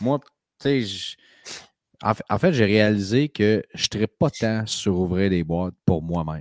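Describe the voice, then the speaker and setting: Lively intonation colors a man's fairly low voice in a Quebec accent. He speaks at a very slow pace, with a dry, close sound and no echo. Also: very clean recording, silent background. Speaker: sports card podcast co-host. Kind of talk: casual chat.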